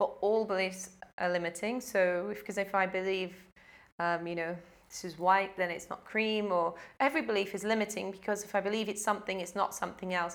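Speaking with a British accent, the woman uses a medium pitch, a fairly quick pace, and fairly even intonation. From UK. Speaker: life coach. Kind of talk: casual interview.

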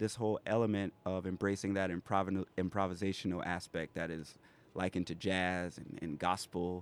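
On a very clean recording with a silent background, a man with an American accent talks at a fairly quick pace in a very deep, low pitch. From South Carolina Lowcountry (Pineville, Berkeley County). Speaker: hip hop artist. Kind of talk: casual interview on community radio. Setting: radio studio, broadcasting live from a food court venue.

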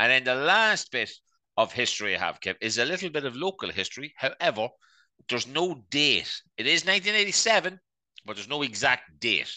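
In an Irish accent, a man with a bright, sharp tone and fairly high pitch talks at a moderate pace, his voice making very wide pitch swings over a quiet background. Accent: Irish (Louth). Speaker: podcast co-host. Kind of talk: casual chat.

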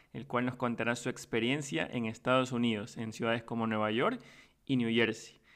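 A man at medium pitch in a very clean recording with a silent background. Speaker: podcast host. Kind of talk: podcast intro and outro; casual interview.

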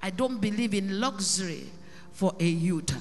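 A woman speaks at a fairly slow pace with lively intonation and an animated tone over noticeable background noise. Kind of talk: preacher in full flow, sermon with call-and-response and prayer. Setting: church with congregation. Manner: loud, animated, rhythmic, exhorting the congregation with repeated questions; fervent, declamatory, pausing for the crowd to answer.

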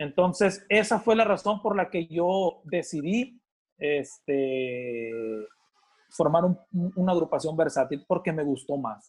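Very slowly, a man speaks in a high voice with lively intonation. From Sinaloa, Mexico. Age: 40s. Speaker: band musician, percussionist. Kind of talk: interview, casual chat.

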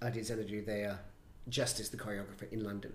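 A man with an Australian accent speaks at a fairly quick pace in a somewhat breathy voice. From Brisbane, Australia. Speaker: choreographer and director. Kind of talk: casual interview chat.

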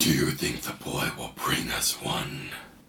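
Putting on a character voice, a man speaks fairly slowly in a raspy way. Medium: actual play.

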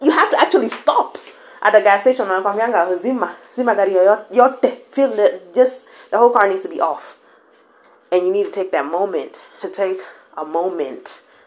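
A woman's medium-pitched voice with lively intonation at a moderate pace, against noticeable background noise. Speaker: podcast host. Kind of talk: motivational monologue. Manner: casual, code-switching with Swahili.

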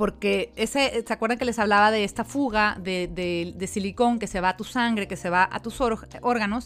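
A woman's unremarkable speaking voice, medium in pitch, moderate in pace with hardly any pauses, fairly even intonation, on a very clean recording with a silent background. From Mexico. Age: 40s. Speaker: podcast host and life coach. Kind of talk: personal testimony monologue.

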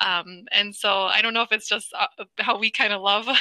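In an American accent, a woman speaks with a bright, sharp tone in a dry, close sound with no echo. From Wisconsin, US Midwest. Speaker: speech-language pathologist and fitness company founder. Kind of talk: interview.

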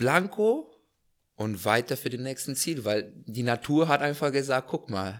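On a very clean recording with a silent background, a man speaks very slowly at a medium pitch with lively intonation. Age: 20s. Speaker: hot air balloon pilot. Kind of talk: casual interview chat.

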